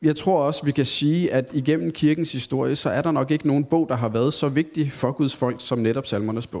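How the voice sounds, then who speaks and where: This man's pitch sits fairly high. He talks at a moderate pace. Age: 30s. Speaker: Bible teacher. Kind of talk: Bible study talk. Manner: hesitant, many filler sounds.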